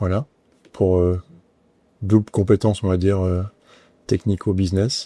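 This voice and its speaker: A man speaks fairly slowly with a fairly low pitch, a dark, mellow tone, fairly even intonation and long, frequent pauses. The sound is dry and close with no echo, a very clean recording with a silent background. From southern France, Nice. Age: 50s. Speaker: company president. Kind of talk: interview. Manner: hesitant, many fillers.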